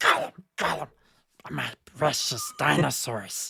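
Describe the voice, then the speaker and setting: This raspy, put-on character voice moves at a fairly slow pace. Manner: raspy, gloating.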